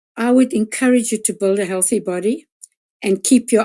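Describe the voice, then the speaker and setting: Over a silent background in a very clean recording, a woman with a dark, mellow tone speaks at a moderate pace with ordinary pitch variation. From South Africa. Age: 70s. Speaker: nutritionist and detox specialist. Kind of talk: interview.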